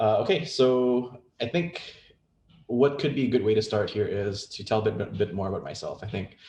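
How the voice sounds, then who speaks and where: A dark, mellow tone, somewhat breathy, at a moderate pace with ordinary pitch variation. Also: man, medium pitch for a man. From Indonesia. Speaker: game industry executive. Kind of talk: presentation.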